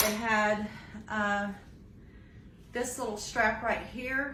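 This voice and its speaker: With noticeable background noise and audible room echo, a woman speaks at a fairly high pitch. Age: 60s. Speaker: vlogger recovering from knee surgery. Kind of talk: casual video update and tips. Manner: hesitant with many fillers.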